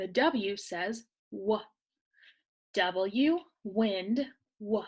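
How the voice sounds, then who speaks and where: This woman's voice sits at a medium pitch and carries lively intonation. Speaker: teacher. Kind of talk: tutorial. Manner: slow, clear enunciation; whispering.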